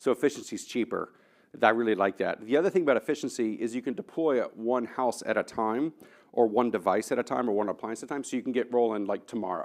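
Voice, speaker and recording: Against a quiet background, a man with a medium pitch speaks very fast in an American accent. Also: ordinary pitch variation. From Texas, Austin. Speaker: engineering professor, keynote speaker. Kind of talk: Q&A answer; conference keynote talk. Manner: animated.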